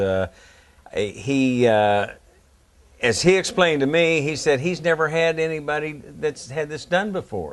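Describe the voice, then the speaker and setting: With an Appalachian accent, a man talks at a moderate pace using lively intonation. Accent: Appalachian American. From West Virginia, Morgantown. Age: 60s. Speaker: heart patient. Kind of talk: interview testimony. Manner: halting, many fillers.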